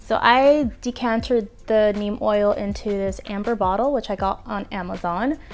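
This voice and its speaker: A woman at a fairly slow pace, with faint music in the background. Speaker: plant care vlogger. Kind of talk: casual product review chat. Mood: cheerful, playful. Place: home room. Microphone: lapel.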